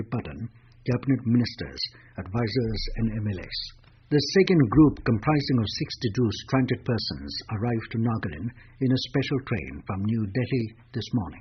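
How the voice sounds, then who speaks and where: Lively intonation marks this man's medium-pitched voice, which has vocal fry. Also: moderate pace. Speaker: radio newsreader. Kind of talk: radio news bulletin.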